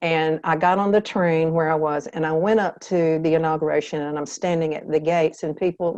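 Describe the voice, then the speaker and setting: A woman with a Southern US accent, fairly low in pitch and fairly quick in pace. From US South. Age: 70s. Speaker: author. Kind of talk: interview.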